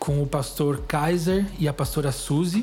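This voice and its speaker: A man talks at a fairly high pitch for a man. His pitch varies in an ordinary way over noticeable background noise. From Greater São Paulo (São Caetano), Brazil. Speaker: missionary and author. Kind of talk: testimony interview.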